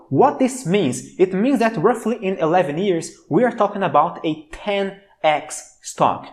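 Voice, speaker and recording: The voice carries an enthusiastic tone and a Brazilian accent at a moderate pace. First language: Portuguese. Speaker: stock market commentator. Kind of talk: stock analysis video.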